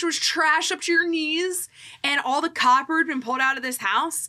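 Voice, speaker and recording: A woman's extremely high, raised and projected voice with a bright, sharp tone, an American accent, ordinary pitch variation and a moderate pace. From US Northeast, Philadelphia area. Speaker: real estate agent. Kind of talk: casual chat. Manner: animated.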